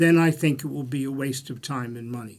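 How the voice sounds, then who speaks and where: A man speaks with a Bronx accent. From US, the Bronx, New York. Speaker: political analyst. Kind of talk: panel discussion. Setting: studio.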